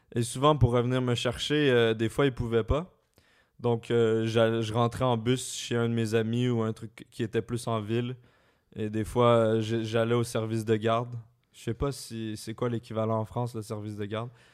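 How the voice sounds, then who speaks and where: Recorded very cleanly with a silent background, a man speaks at a medium pitch and a fairly slow pace in a monotone, flat intonation. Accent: slight Quebec. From Quebec, Laurentides. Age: 20s. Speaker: YouTuber. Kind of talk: casual chat. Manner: careful articulation.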